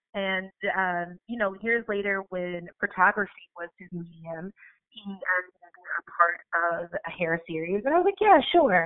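At a fairly slow pace, a woman talks at medium pitch in an unremarkable speaking voice, with ordinary pitch variation. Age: 20s. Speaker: life coach and author. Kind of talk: interview.

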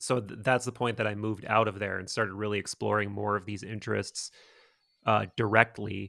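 Speaking with an American accent, a man has a fairly low pitch and a bright, sharp tone, at a moderate pace in a monotone, flat intonation. The sound is dry and close with no echo, in a very clean recording with a silent background. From US Midwest (Wisconsin). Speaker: podcast host. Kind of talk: casual chat.

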